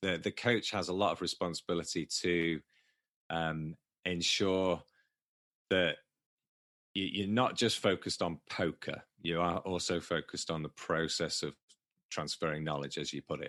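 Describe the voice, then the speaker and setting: With a very deep, low pitch and a bright, sharp tone, a man speaks in fairly even intonation with long, frequent pauses, the sound dry and close with no echo over a quiet background. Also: moderate pace. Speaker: poker coach. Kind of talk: podcast interview. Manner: halting, many repeated words.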